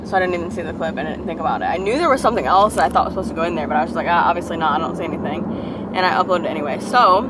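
Over clear background noise, a woman speaks at a fairly low pitch.

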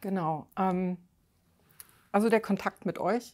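A woman at a medium pitch and fairly slow pace, on a very clean recording with a silent background. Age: 50s. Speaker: weight-loss coaching client. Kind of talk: interview. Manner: halting, many fillers.

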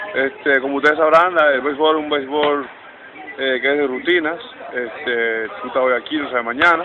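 Music plays behind a man at a fairly high pitch. He keeps fairly even intonation at a moderate pace. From Dominican Republic, Santiago. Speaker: baseball coach, former player. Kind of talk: interview. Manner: halting, many fillers.

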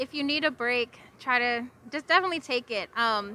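A woman's high-pitched voice with a bright, sharp tone

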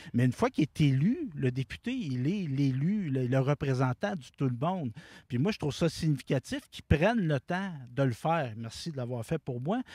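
With a Quebec accent, a man speaks at a moderate pace in a dark, mellow, somewhat breathy tone, fairly high in pitch, with lively intonation and a dry sound with no echo. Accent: Québécois French. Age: 40s. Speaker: community TV director. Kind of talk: interview. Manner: halting. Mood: grateful, warm. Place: open country. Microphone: handheld.

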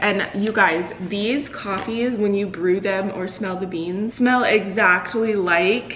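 Against light background noise, a woman speaks at a fairly slow pace. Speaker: lifestyle vlogger. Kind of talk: casual vlog chat. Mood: cheerful, chatty. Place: kitchen. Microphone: camera far.

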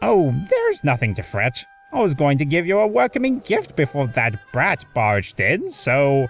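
Over faint background music, a put-on character voice sits at a low-to-middle pitch. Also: moderate pace. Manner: theatrical, playful.

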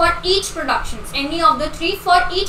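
Over light background noise and audible room echo, a woman talks in a raised, projected voice at a moderate pace. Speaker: online exam tutor. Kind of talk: lecture.

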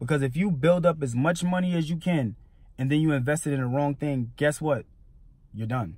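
A man talks at a very fast pace in a somewhat breathy voice, with a dry sound and no echo. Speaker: entrepreneur vlogger. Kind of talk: motivational vlog talk. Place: car. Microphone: phone near.

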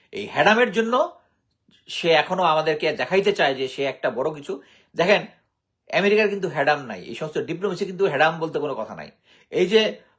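On a very clean recording with a silent background, a man speaks in a high pitch with lively intonation and big swings in loudness. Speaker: retired army officer and commentator. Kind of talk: political commentary monologue. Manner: halting.

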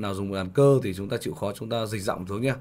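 Pitch varies in an ordinary way as a man talks. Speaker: piano teacher. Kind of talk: tutorial.

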